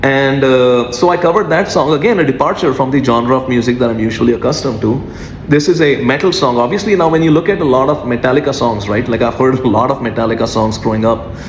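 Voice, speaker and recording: With hardly any pauses, a man at a medium pitch talks with ordinary pitch variation and very even loudness, amid noticeable background noise and audible room echo. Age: 40s. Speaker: music artist. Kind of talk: freestyle monologue. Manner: many filler 'uh's.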